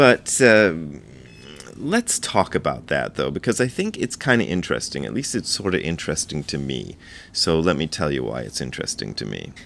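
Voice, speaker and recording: Speaking at a moderate pace, a man with a very deep, low pitch and vocal fry makes very wide pitch swings. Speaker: Zen teacher and video blogger. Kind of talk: casual vlog talk. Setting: rented apartment indoors. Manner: quiet, subdued volume.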